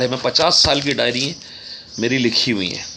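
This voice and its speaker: A man at medium pitch is heard against noticeable background noise. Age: 60s. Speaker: author. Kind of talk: casual talk; reading aloud.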